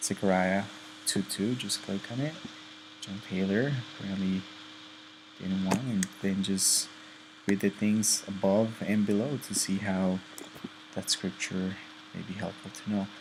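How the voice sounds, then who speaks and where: The speaker has a non-native accent and talks at a fairly slow pace with fairly even intonation and long, frequent pauses, over noticeable background noise. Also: man, fairly low pitch for a man. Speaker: student presenter. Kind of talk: tutorial. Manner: careful, deliberate; hesitant, many fillers.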